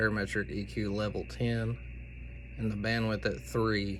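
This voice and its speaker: Audible room echo surrounds a man's fairly low voice as it moves through very wide pitch swings. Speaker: amateur radio operator. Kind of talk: tutorial. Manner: casual, with many fillers.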